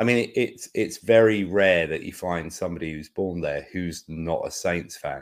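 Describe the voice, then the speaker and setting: With a southern English accent, a man talks at a moderate pace in a very deep, low pitch, showing ordinary pitch variation and hardly any pauses, in a very clean recording with a silent background. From England. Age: 50s. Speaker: podcast co-host. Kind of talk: casual chat.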